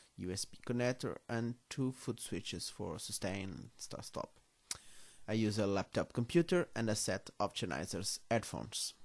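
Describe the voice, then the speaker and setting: A man speaks with a Portuguese accent and lively intonation. His pitch is fairly low. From Portugal, Coimbra. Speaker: music tutorial maker. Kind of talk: tutorial. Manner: careful, deliberate; halting.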